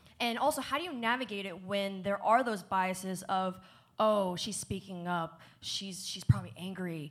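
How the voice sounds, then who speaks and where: Speaking at a moderate pace with an American accent, a woman has an unremarkable speaking voice, a medium pitch with ordinary variation, and big swings in loudness. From New Jersey. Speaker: esports show co-host and panel moderator. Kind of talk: panel discussion.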